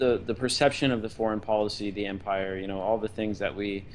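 Against light background noise, a man with fairly low pitch and fairly even intonation has an unremarkable speaking voice. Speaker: podcast guest. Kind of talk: interview answer. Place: home room. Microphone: video call.

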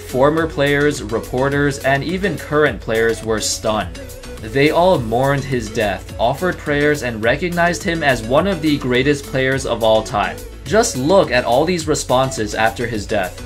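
Lively intonation carries over music in the background. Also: man, moderate pace. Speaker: video narrator. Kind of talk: narrated sports story.

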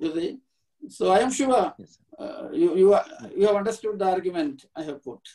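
Speaking at a moderate pace with a Keralan accent, a man with a high pitch and a dark, mellow tone makes very wide pitch swings and big swings in loudness against a quiet background. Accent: Indian English (Malayali). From India, Kerala. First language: Malayalam. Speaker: professor; guest lecturer, professor emeritus. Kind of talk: lecture. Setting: video call. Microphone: video call.

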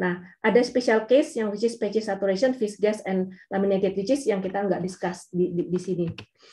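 This woman's dark, mellow tone is somewhat breathy, with hardly any pauses and ordinary pitch variation. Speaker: geophysicist speaker; speaker. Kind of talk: technical webinar presentation. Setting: video call. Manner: hesitant, many fillers. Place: home room. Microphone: webcam.

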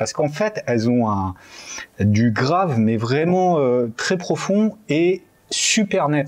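A man speaks with lively intonation at a fairly high pitch. The background is quiet. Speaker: audio equipment show co-host. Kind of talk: casual product review chat. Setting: studio. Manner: hesitant, filler-heavy. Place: studio.

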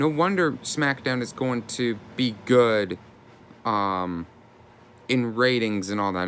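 A man's animated tone with lively intonation. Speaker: YouTuber wrestling commentator. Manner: animated, indignant, exasperated. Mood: frustrated, disappointed. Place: home room. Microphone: phone near.

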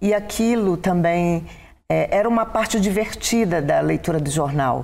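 A dark, mellow tone carries the speech at a fairly slow tempo. Its pitch shifts by an ordinary amount. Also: woman. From Brazil, Belém do Pará; Pará, Brazil. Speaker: education professor. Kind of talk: interview. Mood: calm, reflective storytelling. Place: studio. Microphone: lapel.

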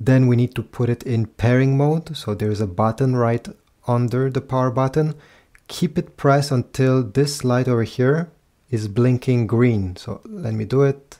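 A man's dark, mellow voice at a medium pitch, with ordinary pitch variation and a fairly slow pace.

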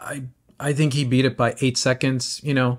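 Background sound stays quiet. A man speaks at a fairly quick speed. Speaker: running shoe commentator. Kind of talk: casual vlog commentary. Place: home room. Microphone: phone near.

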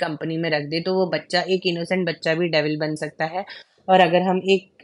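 The sound is dry and close, without echo. A woman speaks in a fairly low, monotone voice with flat intonation. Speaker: educational YouTuber teaching pedagogy. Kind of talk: lecture.

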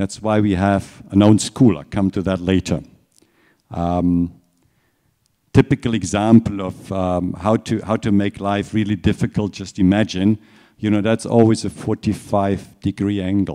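A man with a German accent, fairly low in pitch, dark and mellow in tone, at a fairly slow pace with fairly even intonation and a quiet background. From Germany. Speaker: watch company executive. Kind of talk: lecture. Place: hall.

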